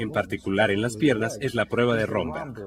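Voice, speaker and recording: Moderate pacing against noticeable background noise. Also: man. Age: 60s. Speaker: physician demonstrating a neurological exam. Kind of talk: clinical demonstration tutorial.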